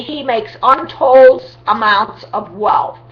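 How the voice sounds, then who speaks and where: The woman's voice is fairly high-pitched. Noticeable noise runs in the background. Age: 60s. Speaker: vlogger promoting a home business. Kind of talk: sales pitch. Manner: animated.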